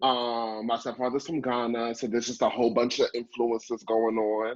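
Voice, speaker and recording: Monotone, flat intonation marks a man speaking with a New York accent. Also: medium pitch for a man, moderate pace. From Brooklyn, New York. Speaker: actor and improviser. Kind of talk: casual interview.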